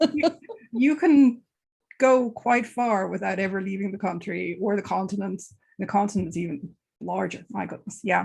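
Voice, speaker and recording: With an Irish accent, a woman speaks at a medium pitch with vocal fry and lively intonation. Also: moderate pace. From Ireland. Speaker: book club host. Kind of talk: interview.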